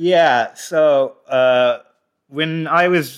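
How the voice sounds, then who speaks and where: The recording is very clean and the background silent. A man talks in an American accent. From US, suburban New Jersey. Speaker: comedian and mathematician. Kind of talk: casual interview chat.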